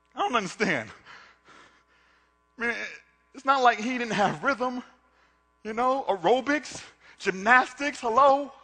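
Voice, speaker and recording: Raising and projecting his voice at an extremely high pitch, a man talks at a fairly slow pace with ordinary pitch variation, long, frequent pauses and big swings in loudness. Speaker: spoken word artist. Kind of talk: spoken word performance.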